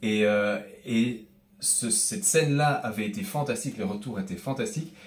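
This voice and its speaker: Audible room echo surrounds a man speaking with a slight Belgian accent. His medium pitch moves with lively intonation at a moderate pace. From Belgium, Brussels. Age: young. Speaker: comedian. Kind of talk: interview. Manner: hesitant, with fillers.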